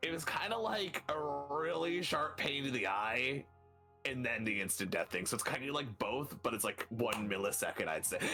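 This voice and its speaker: Over clear background music, a man puts on a raspy character voice, fairly high in pitch, at a moderate pace. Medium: actual play. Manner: stammering, flustered.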